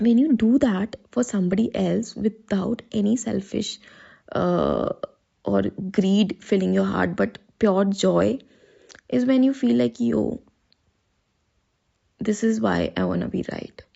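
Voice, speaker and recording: A woman's very slow delivery, with long and frequent pauses. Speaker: personal vlogger. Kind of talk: casual monologue.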